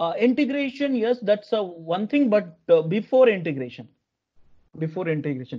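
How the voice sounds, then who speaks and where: Against a quiet background, a man with a high, dark, mellow voice speaks at a moderate pace with very wide pitch swings. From India. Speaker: corporate software trainer. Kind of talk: live online training lecture. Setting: video call. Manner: halting, many fillers and repetitions. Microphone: video call.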